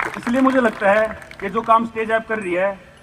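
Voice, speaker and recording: A man with a Haryana accent at a moderate pace. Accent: Haryanvi. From Haryana, India. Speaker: javelin athlete. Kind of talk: public speech.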